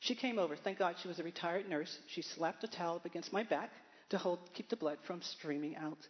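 This woman talks at a very fast pace with an American accent. Her pitch is fairly low for a woman. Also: ordinary pitch variation. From Baltimore, Maryland. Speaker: church member. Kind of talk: testimony.

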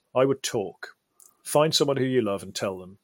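Here a man speaks with a British accent at a moderate pace and with lively intonation. The sound is dry and close, with no echo. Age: 40s. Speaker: mental health campaigner and public speaker. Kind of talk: interview. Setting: studio.

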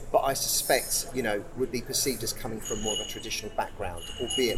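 A man rattles on very fast. Background noise is clearly noticeable. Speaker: business executive. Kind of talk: interview chat.

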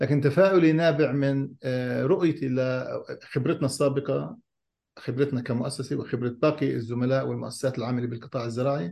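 Over a quiet background, a man speaks at a moderate pace and medium pitch in a dark, mellow, somewhat breathy voice with ordinary pitch variation. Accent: Palestinian. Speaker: NGO director. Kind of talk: panel discussion.

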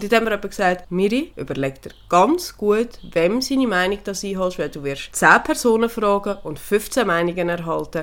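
A woman talks in a plain, everyday voice. Her intonation is lively. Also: medium pitch for a woman, moderate pace, hardly any pauses. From Switzerland. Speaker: podcast co-host, horse owner. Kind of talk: casual chat.

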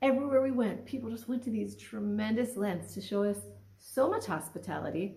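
A woman talks at a fairly quick pace with a fairly high pitch and ordinary pitch variation. It is a plain, everyday voice. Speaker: Torah study participant. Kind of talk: religious teaching discussion. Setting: video call.

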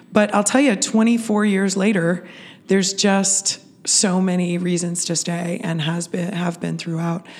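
A woman with an ordinary speaking voice talks at a fairly slow pace. Her pitch is medium and her intonation fairly even. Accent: American. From Pittsburgh, Pennsylvania. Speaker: festival organization CEO. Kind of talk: interview.

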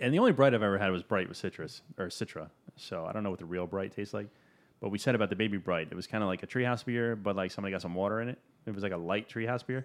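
A man speaks very fast in a fairly low voice, his pitch varying in an ordinary way against a quiet background. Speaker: podcast host. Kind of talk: casual chat. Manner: animated.

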